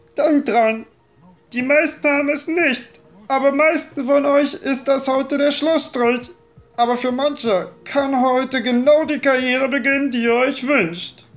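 Moderate pace, with faint music in the background. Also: female-sounding voice. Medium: machinima. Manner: stern, commanding, motivational.

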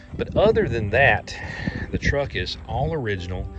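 A man talks at a moderate pace. The sound is dry with no echo, but there is loud background noise. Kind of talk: casual vlog chat. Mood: proud, fond storytelling. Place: open country. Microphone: phone near.

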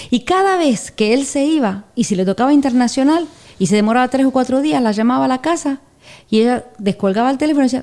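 A woman speaks very fast in a dark, mellow tone, her pitch swinging very widely. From Argentina. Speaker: podcast co-presenter; podcast presenter. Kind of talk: casual chat. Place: studio. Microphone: studio mic.

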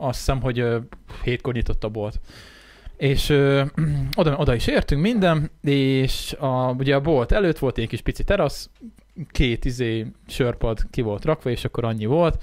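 A man's plain, everyday voice, fairly high in pitch with ordinary pitch variation, at a moderate pace over a quiet background. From Hungary. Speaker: podcast host. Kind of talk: casual chat. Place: studio. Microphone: studio mic.

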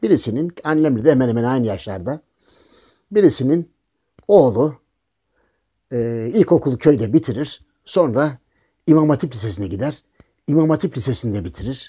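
Over a quiet background, a dark, mellow voice with lively intonation moves at a moderate pace, broken by long, frequent pauses. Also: man, medium pitch for a man. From Thrace, Turkey; Turkey. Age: old. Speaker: political commentator. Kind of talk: casual monologue with anecdotes. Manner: animated storytelling, frequent laughter. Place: home room.

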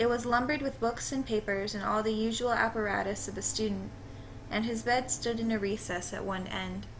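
Noticeable background noise sits behind a woman with a fairly high pitch. She moves at a fairly quick pace with fairly even intonation. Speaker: amateur story narrator. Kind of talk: horror story reading.

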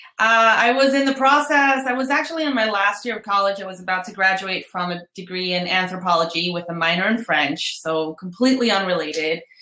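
At a moderate pace, a woman speaks with audible room echo against a quiet background. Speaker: guest, coach. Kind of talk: interview answer. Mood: friendly, relaxed. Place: home room.

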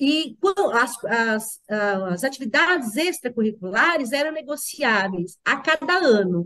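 Very wide pitch swings mark this woman's speech. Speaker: mother and former school principal; podcast guest. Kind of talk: interview. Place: home room. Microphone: video call.

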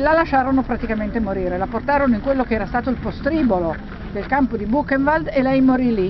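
Over noticeable background noise in a dry sound with no echo, a woman talks at a very fast pace in a high pitch with ordinary pitch variation. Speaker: tour guide. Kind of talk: guided tour commentary. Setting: outdoors. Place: open country. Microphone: phone near.

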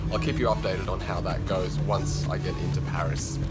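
Loud music plays in the background. A man talks over it at a very fast pace. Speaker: travel vlogger. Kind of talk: casual vlog chat. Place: train. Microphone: phone near.

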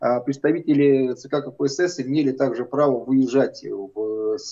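This man's tone is dark and mellow, and the background is quiet. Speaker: guest. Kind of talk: interview answer. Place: office. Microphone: video call.

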